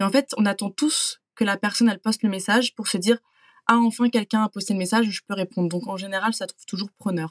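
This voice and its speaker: Talking very fast at a medium pitch, a woman sounds somewhat breathy over a dry, close recording with no echo, her intonation fairly even. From France. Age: 20s. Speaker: working holiday traveler. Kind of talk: interview testimony.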